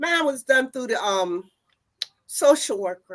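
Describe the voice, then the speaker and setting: A woman with a North Carolina accent. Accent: Southern US (North Carolina). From US South, North Carolina. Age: 70s. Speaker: activist, sterilization survivor. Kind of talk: testimony.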